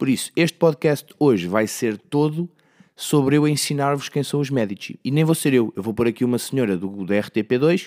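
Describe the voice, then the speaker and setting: A man speaks at a moderate pace and medium pitch with lively intonation, captured in a very clean recording with a silent background and a dry, close sound free of echo. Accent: European Portuguese. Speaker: podcast host. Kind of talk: casual solo monologue. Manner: animated.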